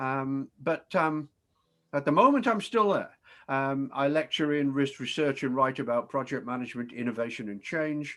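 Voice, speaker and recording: On a very clean recording with a silent background, a man with a British accent talks at a moderate pace, his pitch fairly high and varying in an ordinary way. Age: 60s. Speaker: professor. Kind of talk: presentation. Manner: hesitant, many fillers.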